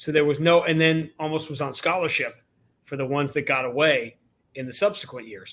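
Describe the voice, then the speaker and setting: Man with a normal speaking voice, fairly high pitch, ordinary pitch variation, big swings in loudness and a fairly quick pace. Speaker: radio play-by-play announcer. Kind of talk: podcast interview answer.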